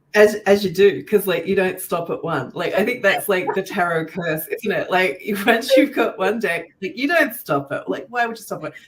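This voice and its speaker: A woman with an Australian accent speaks at a medium pitch with lively intonation. Her pace is moderate, with hardly any pauses. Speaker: podcast host, tarot deck creator. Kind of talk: casual podcast interview.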